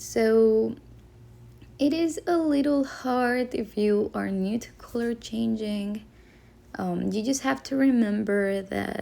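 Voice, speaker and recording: A woman speaks with a non-native accent. She goes at a very slow pace. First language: not English. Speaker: crochet tutorial maker. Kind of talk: tutorial. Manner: hesitant, with fillers.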